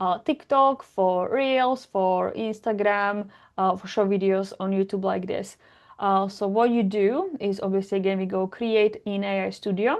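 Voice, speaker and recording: A woman with a strong Slovak accent speaks at medium pitch with fairly even intonation. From Slovakia. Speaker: tech tutorial creator. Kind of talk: tutorial. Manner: halting, many fillers; casual.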